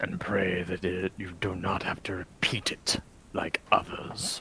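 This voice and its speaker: Someone whispers in a put-on character voice with a solemn tone at a fairly slow pace, with clear background noise behind. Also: man. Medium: actual play. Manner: solemn, cryptic.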